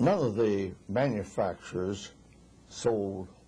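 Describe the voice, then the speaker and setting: Speaking very slowly, a man has a somewhat breathy voice with a dark, mellow tone. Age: 80s+. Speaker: refrigeration engineer. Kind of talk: interview answer.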